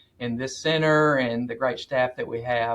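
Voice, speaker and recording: A man talks at a moderate pace with an American accent. His pitch varies in an ordinary way. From US South, northwest Alabama. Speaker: agricultural research center director. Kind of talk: podcast interview.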